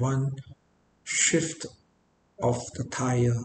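The man's voice has a dark, mellow tone and is somewhat breathy, with audible room echo and light background noise. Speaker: private tutor. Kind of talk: reflective talk to camera. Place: home room. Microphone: webcam.

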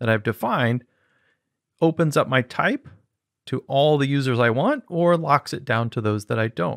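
A man with an ordinary speaking voice, a fairly high pitch and lively intonation speaks at a moderate pace on a very clean recording with a silent background, the sound dry and close with no echo. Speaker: programming instructor. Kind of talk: tutorial.

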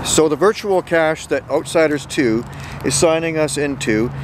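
A man talks at a moderate pace with ordinary pitch variation. The sound is dry with no echo, though noticeable background noise is present. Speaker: geocaching vlogger. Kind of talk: casual vlog chat. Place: open country. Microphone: phone near.

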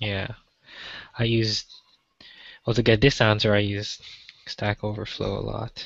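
Over a quiet background, a man speaks at a fairly slow pace. His delivery is monotone and flat, and the sound is dry with no echo. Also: fairly low pitch for a man. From Malaysia. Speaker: software developer. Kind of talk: pair programming session. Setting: video call. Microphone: video call.

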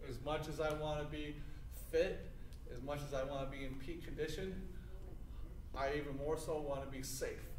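A man talks at a moderate pace. The room echo is audible, with light background noise. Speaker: teacher demonstrating exercise. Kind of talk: tutorial. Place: gym.

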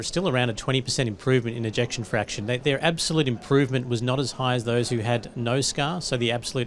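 Talking at a very fast pace with hardly any pauses, a man uses ordinary pitch variation over light background noise. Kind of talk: interview answer. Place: studio. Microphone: handheld.

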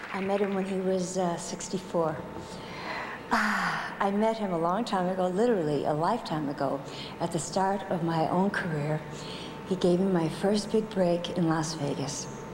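A woman talks at a moderate pace with fairly even intonation. Noticeable background noise can be heard. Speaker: presenter. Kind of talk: tribute speech. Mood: warm, playful. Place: hall. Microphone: podium.

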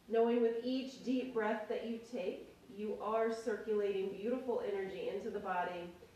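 With audible room echo, a woman speaks at a moderate pace in a fairly high voice with fairly even intonation. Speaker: yoga instructor. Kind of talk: guided yoga class. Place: home room. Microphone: camera far.

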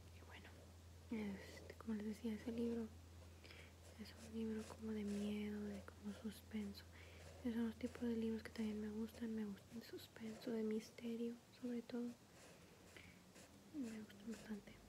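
A soft-spoken woman whispers at a fairly slow pace. She leaves long, frequent pauses amid noticeable background noise. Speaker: ASMR creator. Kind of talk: ASMR coloring session, casual talk to camera. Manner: whispered, soft-spoken. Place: home room. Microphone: phone near.

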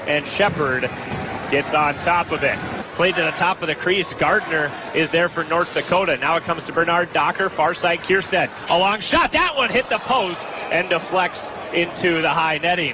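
At a moderate pace, the voice shows ordinary pitch variation, sounding dry with no echo amid noticeable background noise. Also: man, high pitch for a man. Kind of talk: live commentary. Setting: arena broadcast. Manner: excitable on goals. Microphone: headset.

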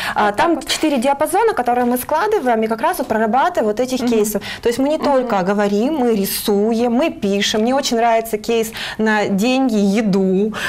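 This is an ordinary speaking voice, very even in loudness and at a fairly quick pace. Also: woman, fairly high pitch for a woman, ordinary pitch variation. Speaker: career guidance specialist; guest, psychologist or trainer. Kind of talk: morning TV interview. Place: studio. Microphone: lapel.

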